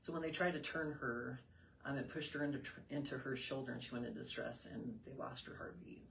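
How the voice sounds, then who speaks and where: Very fast speech from a woman, plus audible echo from the room. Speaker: mother sharing postpartum depression experience. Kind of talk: interview testimony. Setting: live video stream.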